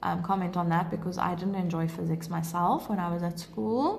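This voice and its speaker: Audible room echo surrounds a woman whose voice is fairly low in pitch and somewhat breathy. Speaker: maths teacher. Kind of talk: livestream tutorial; casual Q&A with viewers. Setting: live stream.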